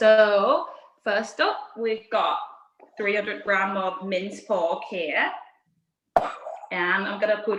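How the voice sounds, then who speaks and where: A woman speaks with a Thai accent. Room echo is audible. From Thailand, Bangkok. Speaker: chef. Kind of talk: cooking tutorial.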